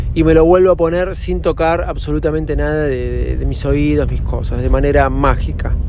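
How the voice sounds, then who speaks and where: A man's moderate-paced speech with hardly any pauses, amid noticeable background noise and audible room echo. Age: 40s. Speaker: podcaster. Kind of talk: casual monologue. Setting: in a car.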